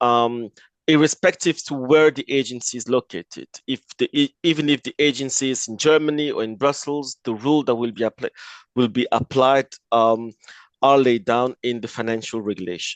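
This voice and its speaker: With a French accent and a medium pitch, a man speaks at a moderate pace with ordinary pitch variation, the sound dry and close with no echo against a quiet background. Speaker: lawyer. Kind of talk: webinar presentation. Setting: online webinar. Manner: halting, with fillers.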